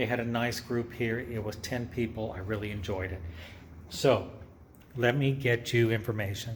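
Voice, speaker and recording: Audible room echo surrounds a somewhat breathy man who talks at a moderate pace with fairly even intonation. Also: medium pitch for a man. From Texas, near San Antonio. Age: 60s. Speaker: artist. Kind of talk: lecture. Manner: conversational.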